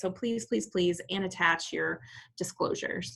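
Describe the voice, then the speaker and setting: A woman talks at a medium pitch with lively intonation. Her tone is bright and sharp, with vocal fry. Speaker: real estate trainer. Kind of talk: tutorial. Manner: fast.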